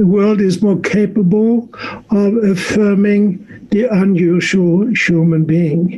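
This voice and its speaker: Over noticeable background noise, a man speaks very slowly in a high pitch. His loudness stays very even and his intonation fairly even. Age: 70s. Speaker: physician and sexologist. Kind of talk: interview. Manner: halting, with frequent repetitions.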